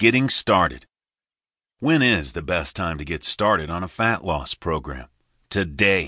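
Lively intonation and a bright, sharp tone mark this voice, which has vocal fry and a moderate pace over a quiet background. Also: man. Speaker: audiobook narrator. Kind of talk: scripted audiobook narration as a motivational pep talk. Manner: urgent, motivational, emphatic; direct, coaching, imperative.

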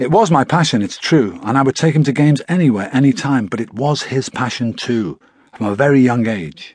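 Over a quiet background, a man with a British accent speaks at a medium pitch. His intonation is lively and his pace fairly quick. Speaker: audiobook narrator. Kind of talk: audiobook narration. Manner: measured, storytelling tone; shifts into quoted dialogue for the father and son.

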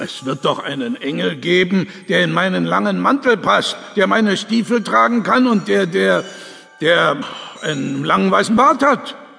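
A man puts on a high-pitched character voice, bright and sharp with vocal fry, at a moderate pace with ordinary pitch variation and few pauses.

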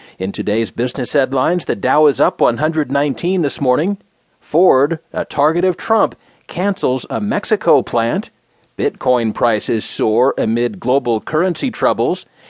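In a normal speaking voice, a man talks fairly slowly at a medium pitch with lively intonation, the sound dry and close with no echo. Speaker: news reader. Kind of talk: news reading, scripted. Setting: studio. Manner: formal; even, measured.

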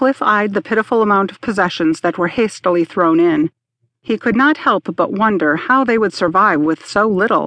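Reading aloud in a natural voice, with lively intonation and a quiet background

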